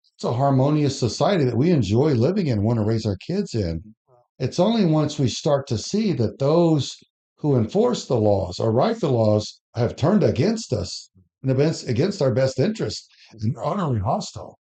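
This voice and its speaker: At a moderate pace, a man speaks in a dark, mellow, somewhat breathy voice, fairly high in pitch, with very wide pitch swings. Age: 60s. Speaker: podcast panel guest. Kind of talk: casual podcast discussion. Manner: animated.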